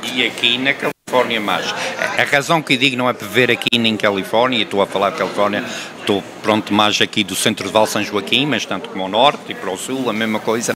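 Over noticeable background noise, a man talks at a fairly quick pace in a medium-pitched voice. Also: ordinary pitch variation. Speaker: YouTube channel host; show host interviewer. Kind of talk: casual community interview show. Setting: public venue, bakery. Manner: halting, many fillers. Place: shop. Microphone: handheld.

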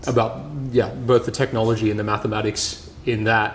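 Talking at a fairly quick pace, a man keeps a fairly low pitch with little pitch movement.

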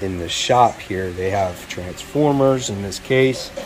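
A man speaks with a fairly low pitch and ordinary pitch variation. Light background noise can be heard. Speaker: comic collector vlogger. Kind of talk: casual vlog chat. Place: shop. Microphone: phone near.

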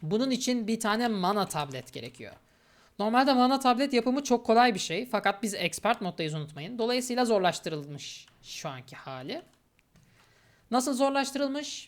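A woman's fairly high voice at a moderate pace, with very wide pitch swings and big swings in loudness. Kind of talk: gameplay commentary. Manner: casual, with frequent filler hesitations.

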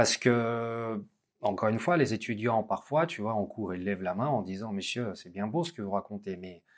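Loudness rises and falls sharply at a moderate pace. Pitch varies in an ordinary way over a quiet background. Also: man, fairly low pitch for a man. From Russia. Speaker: business school lecturer and interviewer; business school lecturer, interviewer. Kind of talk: interview conversation. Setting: business school campus. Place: studio.

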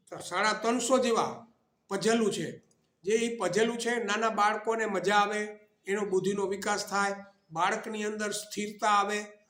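Amid audible room echo, a man speaks at a high pitch with a bright, sharp tone and monotone, flat intonation. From Gujarat, Saurashtra (Morbi district). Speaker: retired teacher. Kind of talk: interview.

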